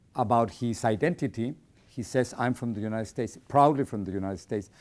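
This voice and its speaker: A man with a Spanish accent and a medium pitch, ordinary pitch variation, a very fast pace, and a very clean recording with a silent background. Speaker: journalist. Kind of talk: interview.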